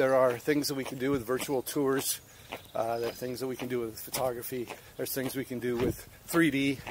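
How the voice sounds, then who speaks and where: Fairly quick, monotone, flat delivery from a man, with a dry sound with no echo and noticeable background noise. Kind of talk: casual vlog chat. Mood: earnest, encouraging. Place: street. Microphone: phone near.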